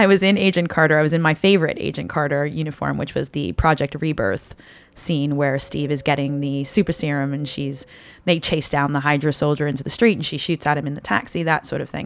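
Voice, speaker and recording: With ordinary pitch variation, a woman speaks very fast in a very deep, low voice. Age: 30s. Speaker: cosplayer. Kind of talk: casual chat.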